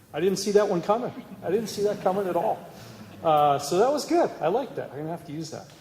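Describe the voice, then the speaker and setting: A man with a Canadian accent speaks at a very fast pace, with a high pitch and lively intonation. His loudness swings widely, and room echo is audible. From Canada. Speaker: cybersecurity executive. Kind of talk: conference talk.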